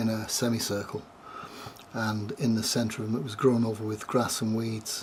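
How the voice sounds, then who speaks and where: Against noticeable background noise, a man with a medium pitch speaks at a moderate pace. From northern England (Glossop, Derbyshire). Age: 60s. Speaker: storyteller giving a religious testimony. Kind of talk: testimony.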